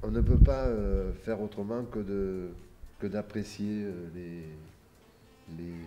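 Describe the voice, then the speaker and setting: Music plays in the background as a man speaks at a fairly low pitch and very slow pace. There are long, frequent pauses and big swings in loudness. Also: ordinary pitch variation. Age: 60s. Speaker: newly baptized adult convert. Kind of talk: interview testimony. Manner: halting, many hesitations and repetitions.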